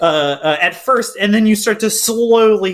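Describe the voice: This recording consists of plain reading aloud.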